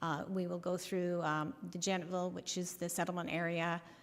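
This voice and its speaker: Her pitch fairly low and her intonation monotone and flat, a woman speaks with audible room echo. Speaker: municipal councillor. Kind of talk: council meeting presentation. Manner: hesitant, many fillers.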